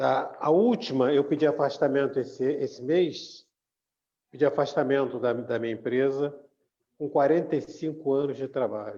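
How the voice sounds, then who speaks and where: A man with a normal speaking voice talks at a moderate pace and fairly high pitch, with ordinary pitch variation. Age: 60s. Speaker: church group member. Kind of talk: casual chat.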